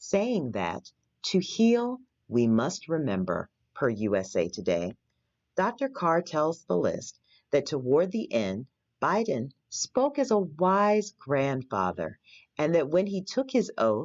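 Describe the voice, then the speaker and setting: A very slow delivery against a quiet background. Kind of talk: news article read aloud.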